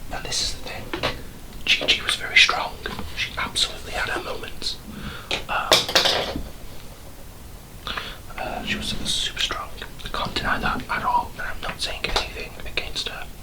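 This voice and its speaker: A man whispering in a British accent, with long, frequent pauses, over noticeable background noise. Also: moderate pace. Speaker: ASMR creator. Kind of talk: ASMR whisper ramble while doing makeup. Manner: whispered, rambling, chatty.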